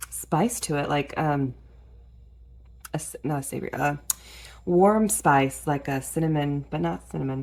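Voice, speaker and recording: A woman speaks quietly. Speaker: gardening YouTuber. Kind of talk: casual tutorial vlog. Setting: in a garage at night. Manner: quiet, keeping voice down.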